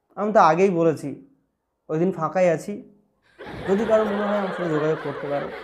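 A man's voice sits high in pitch, with ordinary variation in his intonation. Noticeable background noise runs beneath him. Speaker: stand-up comedian. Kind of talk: stand-up comedy roast of viewer comments, casual talk to camera. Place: home room.

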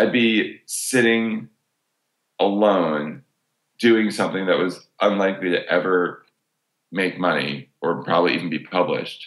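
This man talks in a very deep, low pitch with ordinary pitch variation. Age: 40s. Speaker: journalist and humor columnist. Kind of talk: casual chat.

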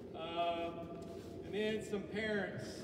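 A man is speaking in a room with audible echo. Loud background noise is present. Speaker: basketball coach. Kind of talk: banquet speech. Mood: grateful, warm. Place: hall. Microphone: camera far.

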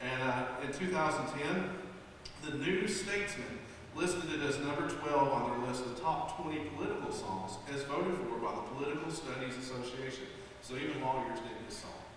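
Strong room echo surrounds this man's voice. There is light background noise. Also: ordinary pitch variation, moderate pace. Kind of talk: stage song introduction. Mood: playful, amused. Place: stage.

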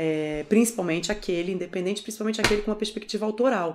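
The voice belongs to a woman. Its pitch moves in an ordinary way. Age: 40s. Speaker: documentary filmmaker; interviewee. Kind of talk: interview. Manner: halting.

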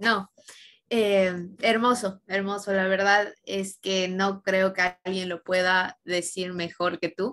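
Delivered at a very slow pace, the speech keeps a fairly even intonation. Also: woman. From Ecuador. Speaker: student interviewer. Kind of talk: interview. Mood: warm, appreciative. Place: home room. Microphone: webcam.

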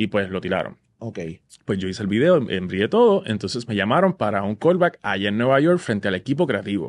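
The man speaks at a very fast pace. His pitch swings very widely. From Puerto Rico, Vega Baja. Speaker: Broadway musical theatre actor. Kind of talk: casual interview chat. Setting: studio. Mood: animated, amused storytelling. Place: studio. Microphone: studio mic.

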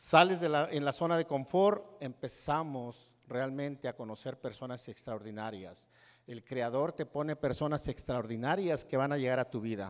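Against a quiet background, the speaker keeps a moderate pace with hardly any pauses and ordinary pitch variation. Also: man. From Mexico, Hidalgo. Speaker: network marketing speaker. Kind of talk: motivational speech. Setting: stage with audience. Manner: animated.

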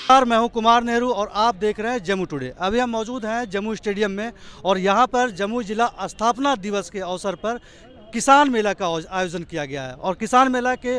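The man's voice is high-pitched, with ordinary pitch variation. He talks at a moderate pace, and the sound is dry with no echo. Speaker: local news reporter. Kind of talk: news field report. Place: hall. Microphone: handheld.

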